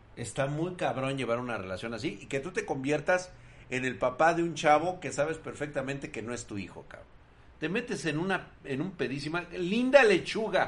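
A man's fairly high, animated voice with vocal fry, very wide pitch swings, big swings in loudness and a moderate pace. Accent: Mexican. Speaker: tech streamer. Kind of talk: casual live stream chat. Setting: live stream.

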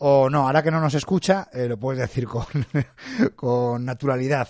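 The speaker keeps a moderate pace and varies pitch in an ordinary way. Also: man. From Spain, Madrid. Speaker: podcast host. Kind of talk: casual interview chat. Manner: hesitant, many fillers.

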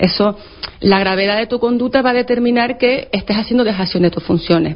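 Noticeable background noise sits behind a woman's voice. She talks at a fairly quick pace and medium pitch with ordinary pitch variation. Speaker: labour law expert. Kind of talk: radio interview explaining law. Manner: fast.

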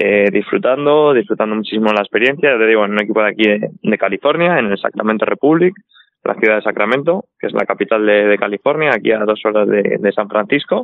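This man talks at a very fast pace in a medium pitch. His pitch varies in an ordinary way and his loudness stays very even. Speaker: professional footballer. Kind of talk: casual chat.

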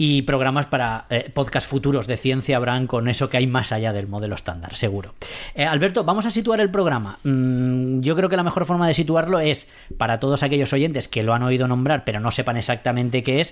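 A man with an ordinary speaking voice, medium pitch, lively intonation and fairly quick pace. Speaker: science radio host. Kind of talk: casual chat.

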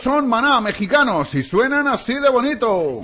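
Over noticeable background noise, a man talks at an extremely high pitch with ordinary pitch variation. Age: 40s. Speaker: radio host. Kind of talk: morning radio show chat. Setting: studio. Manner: animated.

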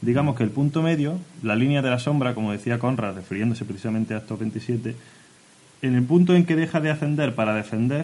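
This man has a normal speaking voice at a medium pitch. He talks fairly quickly, with ordinary pitch variation. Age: 20s-30s. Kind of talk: casual chat.

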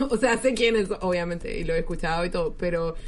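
A woman talks at a fairly quick pace while audible room echo and noticeable background noise fill the recording. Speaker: podcast host. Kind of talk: casual chat.

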